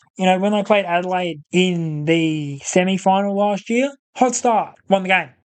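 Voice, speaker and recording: A high-pitched man with an Australian accent, at a moderate pace. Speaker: football podcast host. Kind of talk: casual sports discussion. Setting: studio.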